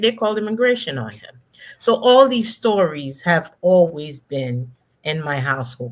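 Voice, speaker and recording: With a slight Haitian accent, a woman speaks at a moderate pace in a fairly low voice. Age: 50s. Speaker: executive coach, former corporate finance executive. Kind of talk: panel interview. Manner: emphatic.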